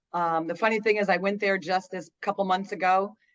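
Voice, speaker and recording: A woman with a plain, everyday voice speaks at a medium pitch and a moderate pace. Her intonation is fairly even, and the background is quiet. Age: 60s. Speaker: interviewee sharing weight loss story. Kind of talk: interview testimony.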